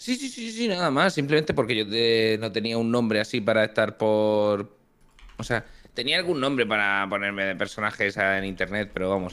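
At a moderate pace, a man with a fairly low pitch and ordinary pitch variation uses a normal speaking voice. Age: 20s. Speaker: streamer. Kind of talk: casual chat.

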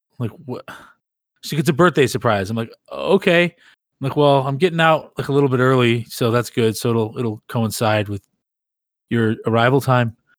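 A man with an ordinary speaking voice talks at a moderate pace and medium pitch with ordinary pitch variation, in a very clean, dry and close recording with no echo and a silent background. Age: 40s. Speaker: podcast host. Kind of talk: casual chat.

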